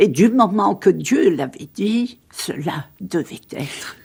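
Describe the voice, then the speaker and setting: Very slow woman's voice at a medium pitch, with vocal fry and very wide pitch swings. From Sicily. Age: 70s. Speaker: religious convert and author. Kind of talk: radio interview. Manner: halting.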